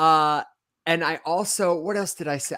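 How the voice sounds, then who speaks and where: A man with an American accent and a bright, sharp tone, at a moderate pace with ordinary pitch variation, in a very clean recording with a silent background. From US Midwest (Michigan, earlier Las Vegas). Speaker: podcast host. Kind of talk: casual chat. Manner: clear enunciation.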